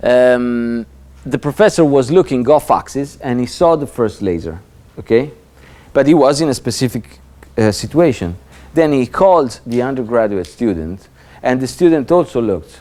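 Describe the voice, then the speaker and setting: With an Italian accent, a dark, mellow tone carries lively intonation at a moderate pace. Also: man, medium pitch for a man. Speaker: laser safety lecturer. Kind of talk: lecture. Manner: halting, many fillers and repetitions.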